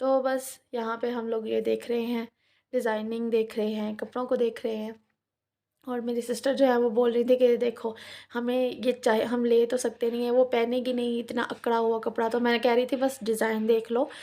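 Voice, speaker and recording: The woman's voice is high-pitched, with a dark, mellow tone. She talks at a moderate pace in a monotone, flat intonation. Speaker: family vlogger. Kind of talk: vlog voice-over narration.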